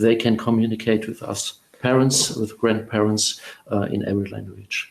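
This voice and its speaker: In a German accent, a man talks at a fairly quick pace with a medium pitch and monotone, flat intonation. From Germany. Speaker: guest parent on multilingual upbringing. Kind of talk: interview. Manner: halting, many fillers.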